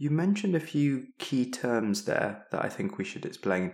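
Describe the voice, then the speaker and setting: A man speaks with a British accent and lively intonation. The recording is very clean, with a silent background. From East of England. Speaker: clinical teaching fellow, co-host. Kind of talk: educational podcast with jokey banter.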